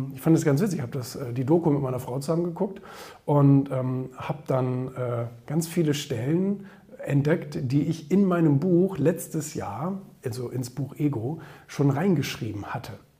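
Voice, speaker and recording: Noticeable background noise behind a man's voice, fairly high in pitch. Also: ordinary pitch variation, moderate pace. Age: 30s. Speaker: entrepreneur and social media commentator. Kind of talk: opinion monologue. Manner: hesitant with many fillers.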